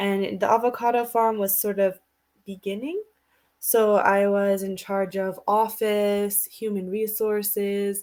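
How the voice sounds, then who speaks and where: Very slowly and in a monotone, flat intonation, a woman speaks at medium pitch. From United States. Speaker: English tutor. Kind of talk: casual conversation lesson. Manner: slow and clear.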